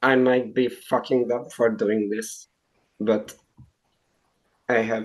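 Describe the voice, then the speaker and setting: A man talks at a very slow pace with a non-native accent. His intonation is monotone and flat. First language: not English. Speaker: game contestant. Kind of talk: casual chat. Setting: video call.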